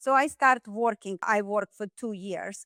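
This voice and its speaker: A woman with a Russian accent has a bright, sharp tone, captured in a dry, close sound with no echo. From Russia, Saint Petersburg. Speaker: dentist. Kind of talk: podcast interview.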